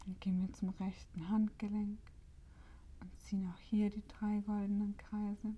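A woman's calm, soothing voice, somewhat breathy and dark and mellow in tone, medium in pitch, flat and monotone, at a fairly slow pace. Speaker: meditation guide and podcast host. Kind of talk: guided meditation. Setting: solo home recording, no guest. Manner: calm, slow and soothing, with long pauses between instructions; gentle, warm and inviting.

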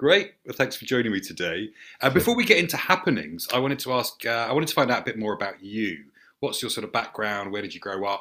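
Talking at a very fast pace, a man speaks with a southern English accent at medium pitch. His tone is bright and sharp. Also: lively intonation, big swings in loudness. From St Albans, southern England. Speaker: theatre director and podcast host. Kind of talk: casual interview. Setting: video call.

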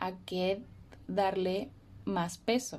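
Dark, mellow tone in a woman's voice of medium pitch. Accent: Mexican. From Mexico, Morelia. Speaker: podcast host. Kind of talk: personal storytelling monologue.

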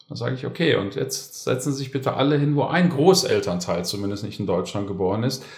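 Amid audible room echo, a man talks at a fairly quick pace and medium pitch, sounding somewhat breathy. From Germany, Konstanz. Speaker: historian, teacher and coach. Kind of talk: casual discussion. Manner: articulate, formal.

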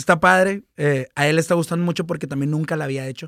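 Racing at a very fast pace, a man speaks in a high voice with fairly even intonation. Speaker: music manager and entertainment consultant. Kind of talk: casual chat.

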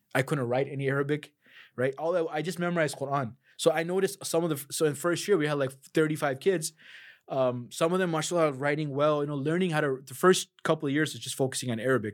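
Talking at a very fast pace, a man with an American accent uses a fairly high pitch and ordinary pitch variation. The recording is very clean and the background silent. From US Midwest, Chicago. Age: 30s. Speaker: Quran teacher. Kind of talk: casual interview.

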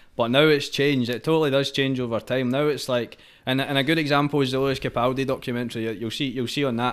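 A man with a Scottish accent speaks at a very fast pace with hardly any pauses. His medium-pitched voice is monotone and flat, in a very clean recording with a silent background. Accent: Scottish (Fife). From Scotland, Fife. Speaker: singer-songwriter. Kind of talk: casual chat.

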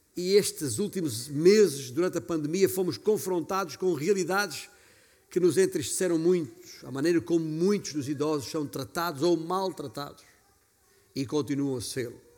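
With a normal speaking voice, a man talks at a fairly high pitch and moderate pace with ordinary pitch variation. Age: 50s. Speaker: pastor. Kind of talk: sermon.

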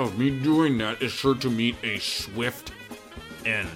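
A man performs a put-on character voice at medium pitch and a very slow pace. Faint music plays in the background. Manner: menacing.

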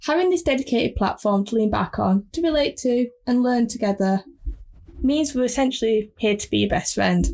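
A woman talks at a moderate pace with a fairly high pitch. Her intonation is lively. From northern England. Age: 20s. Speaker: podcast host, freelance designer. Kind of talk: podcast trailer monologue. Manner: unpolished, pauses and repeats.

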